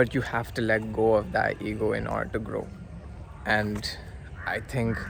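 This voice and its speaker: Fairly slow pace from a male speaker. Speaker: vlogger. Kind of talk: casual vlog monologue. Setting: outdoors by a river. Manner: halting, stumbling over words; hesitant with filler words.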